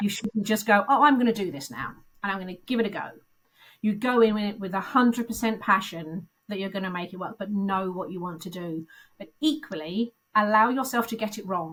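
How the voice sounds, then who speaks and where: A woman of medium pitch at a fairly quick pace, with ordinary pitch variation and big swings in loudness. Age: 50s. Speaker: recruitment consultant turned business founder. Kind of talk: interview answer. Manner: candid.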